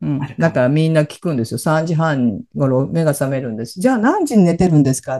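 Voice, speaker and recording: At a very fast pace, a woman with a very deep, low pitch speaks in a dark, mellow tone with lively intonation. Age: 60s. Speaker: empowerment coach and radio host. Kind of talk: casual chat.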